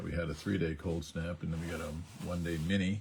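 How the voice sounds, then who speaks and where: A very deep, low male voice, somewhat breathy, monotone and flat, at a very fast pace. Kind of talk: livestream tutorial. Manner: casual, halting.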